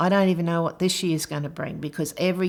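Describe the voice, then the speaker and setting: A woman at a fairly low pitch, with a monotone, flat intonation. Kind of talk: interview testimony.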